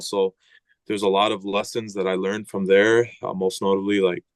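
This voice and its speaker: Speaking with an American accent, a man talks at a fairly quick pace in a fairly low voice. He has a plain, everyday voice. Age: 20s. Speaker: former high school football lineman. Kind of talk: casual podcast interview.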